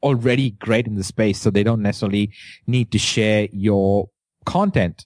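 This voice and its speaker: In an Indian accent, the voice keeps a moderate pace and fairly even intonation, with a dry, close sound and no echo. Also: man. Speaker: entrepreneur and podcast host. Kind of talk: interview. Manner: halting, many fillers.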